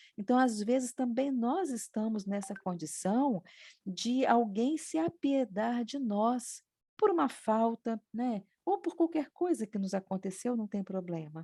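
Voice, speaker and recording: Speaking at a fairly slow pace, a woman's voice has a dark, mellow tone and very wide pitch swings. The sound is dry and close with no echo, on a very clean recording with a silent background. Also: fairly high pitch for a woman. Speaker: spiritist study group participant. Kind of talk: religious study discussion. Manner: trailing off in volume.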